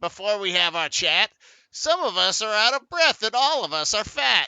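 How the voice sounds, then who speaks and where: A man uses a put-on character voice, high in pitch, at a moderate pace. His pitch swings very widely and his loudness swings a lot. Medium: read story.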